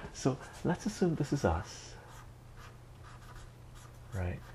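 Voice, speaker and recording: Soft-spoken and somewhat breathy, a man speaks fairly slowly in a dark, mellow tone with lively intonation. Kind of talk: educational lecture.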